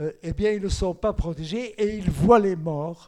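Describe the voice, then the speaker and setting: At a fairly slow pace, a man with a Flemish accent speaks in a high voice with ordinary pitch variation. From Belgium, Antwerp (Flemish-speaking). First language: Flemish (speaking French). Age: 90s. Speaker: Holocaust survivor. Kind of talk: testimony.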